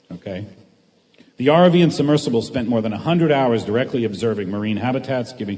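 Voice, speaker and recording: Here a man speaks at a medium pitch with a dark, mellow tone. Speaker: expedition scientist presenter. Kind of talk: presentation to students with interpreter. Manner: fast.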